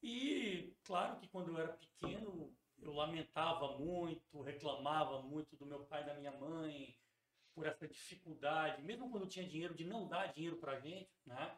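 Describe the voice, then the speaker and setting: Ordinary pitch variation marks a man's fairly high voice as he talks at a moderate pace. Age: 40s. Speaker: teacher and school founder. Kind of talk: casual interview.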